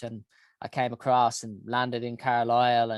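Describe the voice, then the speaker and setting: The speaker has a Dublin accent. The background is quiet. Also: man, dry, close sound with no echo. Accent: Dublin Irish. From Ireland, Dublin. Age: 40s. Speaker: health organization founder. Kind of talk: interview monologue. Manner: hesitant, many fillers.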